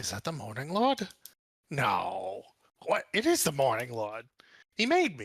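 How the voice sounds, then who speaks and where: A man's put-on character voice, fairly high-pitched, at a fairly slow pace with long, frequent pauses. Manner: surprised, recognizing someone.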